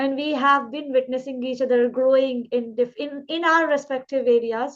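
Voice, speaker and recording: Speaking at a moderate pace, a woman with a high pitch keeps a fairly even intonation. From India, Uttar Pradesh. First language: Indian regional language. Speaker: English trainer, channel host. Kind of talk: casual interview.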